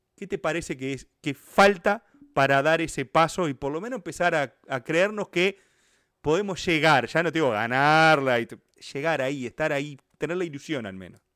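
Speaking at a moderate pace with a Uruguayan accent, a man uses lively intonation and a bright, sharp tone in a very clean recording with a silent background and a dry, close sound with no echo. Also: fairly high pitch for a man. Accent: Rioplatense Spanish (Uruguayan). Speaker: football history YouTuber. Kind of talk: casual interview chat.

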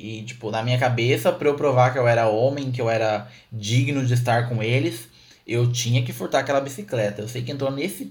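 Audible room echo surrounds a man speaking at a moderate pace in a medium pitch with ordinary pitch variation. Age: 20s. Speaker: podcast host. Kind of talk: personal storytelling.

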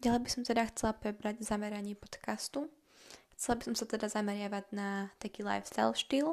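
A woman talks at a fairly quick pace with a fairly high pitch and fairly even intonation. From Slovakia. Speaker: podcaster. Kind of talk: casual monologue. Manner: fast.

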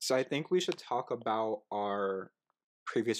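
Medium in pitch, a man speaks with lively intonation. The recording is very clean with a silent background. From US. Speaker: podcast co-host. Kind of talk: casual chat. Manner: loud.

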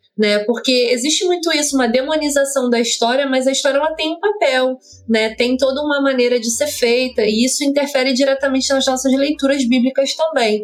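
A woman speaks at a fairly quick pace in a high pitch, with very even loudness, ordinary pitch variation, hardly any pauses and noticeable background noise. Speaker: podcast co-host. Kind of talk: interview.

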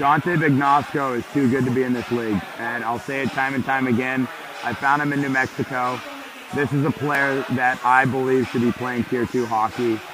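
This man talks at a moderate pace in a medium pitch, his intonation monotone and flat. Noticeable background noise sits behind him. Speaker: hockey head coach. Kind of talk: coach interview between periods. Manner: earnest, direct.

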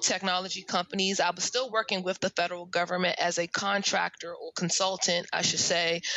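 A woman's monotone, flat voice with an American accent, at a moderate pace over noticeable background noise. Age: 30s. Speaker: career coach. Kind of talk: casual interview.

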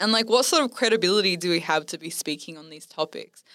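On a very clean recording with a silent background, a woman with an Australian accent speaks at a fairly quick pace. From Western Sydney, Australia. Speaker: podcast host. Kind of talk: casual chat.

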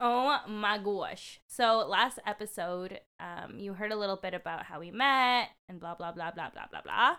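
This woman has a plain, everyday voice at a medium pitch, with big swings in loudness. She speaks at a fairly slow pace with hardly any pauses. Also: ordinary pitch variation. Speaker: podcast co-host. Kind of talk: casual chat. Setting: close-mic recording, ASMR style.

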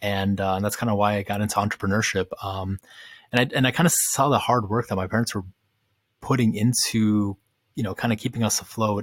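A man with an American accent at a fairly low pitch, fairly even intonation, on a very clean recording with a silent background. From Ukraine, raised in the US from age five. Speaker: community founder. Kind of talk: interview. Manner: casual, many fillers.

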